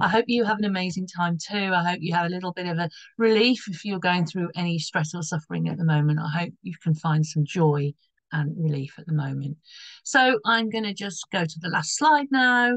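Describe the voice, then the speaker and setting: A woman's somewhat breathy voice moves at a fairly quick pace with lively intonation. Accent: British. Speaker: astrologer. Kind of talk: astrology forecast video. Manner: casual, rambling with false starts.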